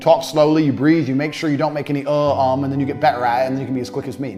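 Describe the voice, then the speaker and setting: A very fast pace over music in the background. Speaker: online course instructor teaching sales. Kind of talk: informal instructional. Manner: very fast talker, few hesitations; speaks off the cuff, no teleprompter.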